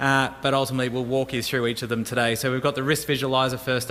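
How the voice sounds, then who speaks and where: This man talks very fast in a flat, monotone delivery with an Australian accent. His pitch sits in the medium range. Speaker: emergency services technology manager. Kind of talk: conference presentation.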